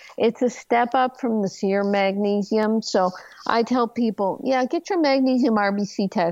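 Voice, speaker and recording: A woman with a plain, everyday voice speaks at a fairly high pitch, with ordinary pitch variation and very even loudness. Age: 60s. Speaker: doctor and author. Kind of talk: interview.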